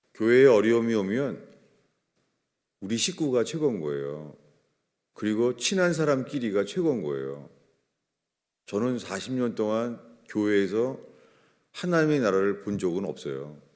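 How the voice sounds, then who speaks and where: Speaking at a moderate pace with long, frequent pauses, a man at medium pitch swings very widely up and down, with audible echo in the room. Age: 60s. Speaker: pastor. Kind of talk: sermon. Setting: church.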